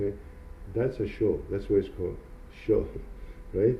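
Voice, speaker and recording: A man with a non-native accent speaks amid audible room echo. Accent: foreign. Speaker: hairdresser and salon owner. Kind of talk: interview. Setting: in a hair salon. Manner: halting.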